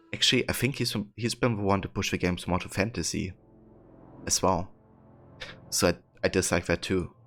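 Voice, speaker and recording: Over music in the background, a man with a German accent and a fairly low pitch speaks at a fairly quick pace, broken by long, frequent pauses. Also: fairly even intonation. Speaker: video game streamer. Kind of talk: casual live-stream chat with viewers. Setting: live stream. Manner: hesitant, many fillers.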